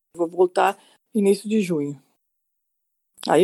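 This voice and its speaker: A woman speaks in a dark, mellow tone at a fairly slow pace. Her pitch variation is ordinary. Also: dry, close sound with no echo. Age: 60s. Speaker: psychiatrist, COVID-19 survivor. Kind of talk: personal testimony interview.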